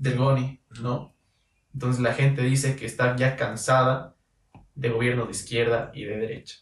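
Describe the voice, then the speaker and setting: A man speaks at a moderate pace in a somewhat breathy voice. His intonation is monotone and flat, while his loudness swings widely. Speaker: podcast host. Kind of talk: casual interview. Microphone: audio problem in this episode.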